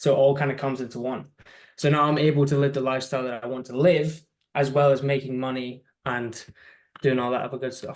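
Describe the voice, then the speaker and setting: In a British accent, a man of medium pitch talks at a very fast pace with monotone, flat intonation. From UK. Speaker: social media agency owner. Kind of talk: interview.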